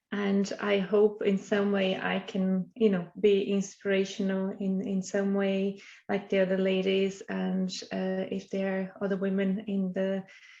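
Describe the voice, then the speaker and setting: A fairly slow, monotone, flat delivery in a Portuguese accent, dark and mellow in tone, with hardly any pauses. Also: woman, medium pitch for a woman. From Brazil. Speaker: startup CEO and scientist. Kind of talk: webinar presentation.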